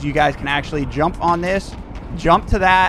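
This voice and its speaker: Noticeable background noise is present throughout. A man delivers his words at a fairly quick pace. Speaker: gaming youtuber. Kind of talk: gameplay tutorial. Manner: casual, with filler words.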